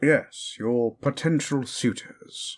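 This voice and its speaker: A man puts on a character voice. His pitch sits fairly high. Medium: audio drama. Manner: formal, measured.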